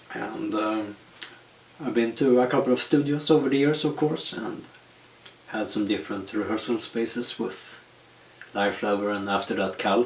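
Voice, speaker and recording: Medium-pitched speech from a man, with ordinary pitch variation and long, frequent pauses, set against noticeable background noise. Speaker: metal musician answering fan questions. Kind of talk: casual Q&A monologue. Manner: slow.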